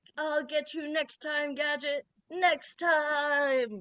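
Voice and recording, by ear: A very slow put-on character voice. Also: woman, high pitch for a woman.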